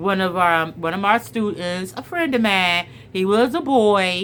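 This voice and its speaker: Loud and animated, a woman at a medium pitch speaks at a fairly slow pace with ordinary pitch variation. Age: middle-aged. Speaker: storyteller and spiritual vlogger. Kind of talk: casual chat with story reading.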